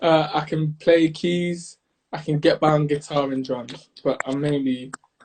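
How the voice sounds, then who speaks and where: Somewhat breathy and fairly high-pitched, a man speaks at a fairly slow pace in a monotone, flat intonation. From North London, England. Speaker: songwriter and recording artist. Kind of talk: casual interview chat.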